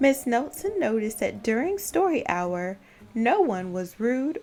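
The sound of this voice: An unforced reading voice carries this clip.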